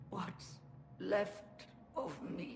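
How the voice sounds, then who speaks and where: A female-sounding put-on character voice at medium pitch, with clear background noise. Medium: video game.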